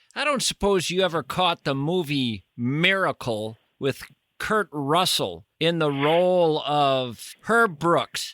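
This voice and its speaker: A man with a Minnesota accent, fairly high in pitch, bright and sharp in tone, with lively intonation, a very slow pace and very even loudness, in a very clean recording with a silent background and a dry, close sound with no echo. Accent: Midwestern Minnesota twang. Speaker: radio host. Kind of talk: casual chat.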